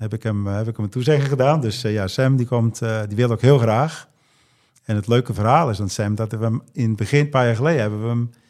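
A man of medium pitch with fairly even intonation at a fairly quick pace. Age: 50s. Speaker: triathlete and wetsuit brand founder. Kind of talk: casual chat. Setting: hotel room. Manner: halting.

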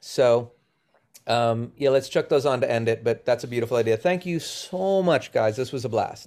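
This man has a normal speaking voice and a medium pitch. He talks at a moderate pace with ordinary pitch variation. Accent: American. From Boston, US. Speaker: touring musician. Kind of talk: casual interview chat.

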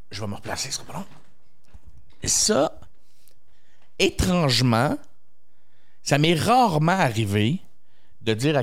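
A man in a Quebec accent, with very wide pitch swings. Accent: Québécois French. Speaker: comedian. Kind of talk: casual chat.

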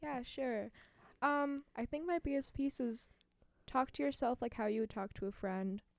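On a very clean recording with a silent background and a dry, close sound with no echo, a woman speaks in a high voice at a moderate pace. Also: lively intonation. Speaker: university student. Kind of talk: casual chat. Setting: studio.

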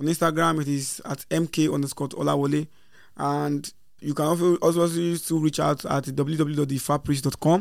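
On a very clean recording with a silent background, a man with a Nigerian accent speaks at a fairly high pitch in a monotone, flat intonation. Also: fairly quick pace. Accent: Nigerian (Yoruba) English. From Nigeria, Lagos area. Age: young. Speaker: traditional priest. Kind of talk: interview.

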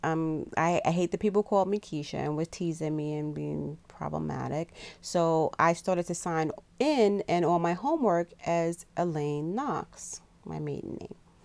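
In a very clean recording with a silent background, a woman speaks in a plain, everyday voice with a fairly low pitch, ordinary pitch variation and a moderate pace. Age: 50s. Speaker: podcast co-host, mother. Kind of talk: casual chat.

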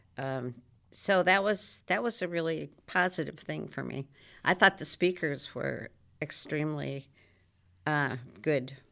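A woman with a very deep, low pitch and a bright, sharp tone speaks fairly slowly with vocal fry, ordinary pitch variation and long, frequent pauses, on a very clean recording with a silent background. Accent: American. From Maryland. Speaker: former state legislator. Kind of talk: casual chat. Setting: studio.

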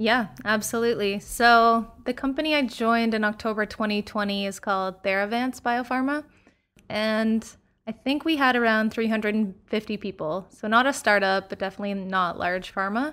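A woman with a Canadian accent speaks at a moderate pace and fairly high pitch with ordinary pitch variation, in a very clean recording with a silent background. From Canada, London, Ontario. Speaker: biotech scientist. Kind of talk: casual interview.

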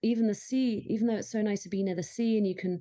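At a fairly quick pace, a woman speaks in a dark, mellow tone with fairly even intonation. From London, England. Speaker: holistic chef and postpartum doula. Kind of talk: casual interview chat.

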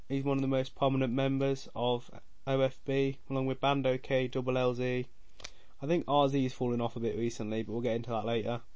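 In an English accent, a man speaks at a fairly quick pace with monotone, flat intonation. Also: medium pitch for a man. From England. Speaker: podcast host, music commentator. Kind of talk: solo monologue, casual opinion ranking. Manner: casual, rambling.

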